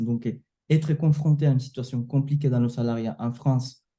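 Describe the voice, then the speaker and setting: The voice has a dark, mellow tone and fairly even intonation, moving at a fairly quick pace. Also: man. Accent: Latin American Spanish. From Venezuela. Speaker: sales closer and coach. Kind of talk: interview testimony. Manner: halting, with repetitions and fillers.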